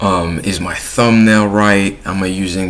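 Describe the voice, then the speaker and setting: A man's very deep, low voice with a French accent, fairly even intonation and a fairly slow pace. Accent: French accent, self-noted. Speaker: YouTuber. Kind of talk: casual vlog monologue. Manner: casual, with filler words and restarts.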